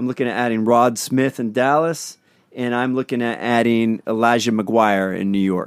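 With a Northeast Pennsylvania accent, a man talks at a moderate pace with fairly even intonation. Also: medium pitch for a man. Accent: Northeast Pennsylvania, drops the G on -ing. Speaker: fantasy football podcast co-host. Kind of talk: casual banter about fantasy football.

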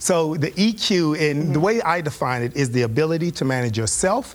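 Lively intonation marks this man's fairly high-pitched voice as he speaks at a fairly quick pace over noticeable background noise. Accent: American. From Texas, Fort Worth. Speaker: author and leadership speaker. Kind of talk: interview conversation.

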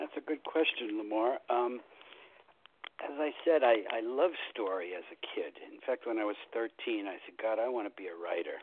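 A man's unremarkable speaking voice, medium in pitch, with lively intonation at a moderate pace. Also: big swings in loudness. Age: 60s. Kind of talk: radio interview.

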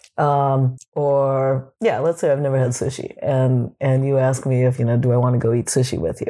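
A woman speaks in a very deep, low voice with a dark, mellow tone at a moderate pace. Her intonation is fairly even, her loudness very even, and she takes hardly any pauses. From Japan. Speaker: sex educator and rope bondage author. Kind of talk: casual interview chat.

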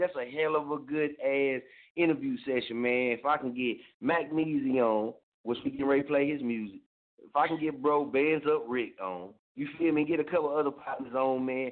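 Fairly high in pitch, a man speaks at a fairly quick pace. His intonation is lively. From Oklahoma (Muskogee). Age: 30s. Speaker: internet radio host. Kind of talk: casual radio show talk. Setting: studio. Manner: animated.

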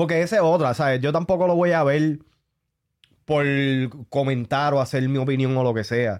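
With a Puerto Rican accent, a man speaks at a moderate pace in a fairly high pitch, using ordinary pitch variation, very even loudness, and long, frequent pauses. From Puerto Rico. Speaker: podcast co-host. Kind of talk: casual chat. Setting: studio.

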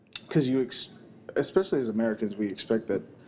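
A man speaks in a fairly low voice. His intonation stays fairly even. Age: 20s. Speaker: podcast host. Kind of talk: casual chat. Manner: halting.

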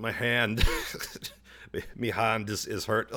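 A man's put-on character voice in an Irish accent, raspy and monotone at a medium pitch. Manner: plaintive.

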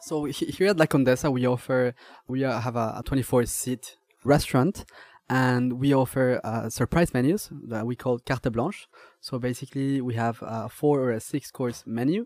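A man with a Spanish accent, medium pitch, moderate pace and ordinary pitch variation, recorded with a dry, close sound and no echo. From Mexico. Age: young. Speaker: chef and restaurant owner. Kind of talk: interview. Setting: restaurant. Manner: halting.

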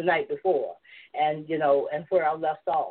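Speaking fairly quickly, a woman talks with a Southern US accent. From US South, Georgia. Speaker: novelist and filmmaker. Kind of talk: casual chat, interview. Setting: video call, online.

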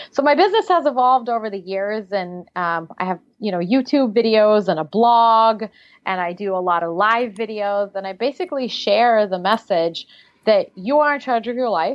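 This woman has a fairly high pitch and a slight Russian accent. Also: lively intonation, moderate pace. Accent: slight Russian accent in American English. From Siberia, Russia. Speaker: life coach. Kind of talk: interview.

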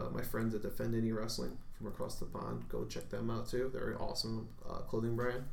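In an American accent, a man talks at a fairly quick pace with audible room echo. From Chicago area, Illinois. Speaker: freelance wrestler. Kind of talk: casual chat.

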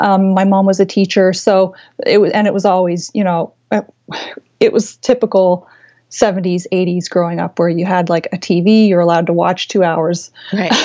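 Her intonation is flat and monotone. She keeps a moderate pace. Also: medium pitch for a woman. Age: 40s. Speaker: quilt designer. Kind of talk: interview.

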